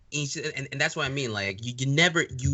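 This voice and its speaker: A normal speaking voice with ordinary pitch variation is heard. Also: man. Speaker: podcast host, interviewer. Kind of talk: casual interview conversation.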